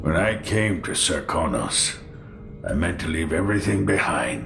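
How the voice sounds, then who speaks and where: Over loud background noise, a man puts on a character voice, very deep and low, delivered at a fairly slow pace. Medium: short film.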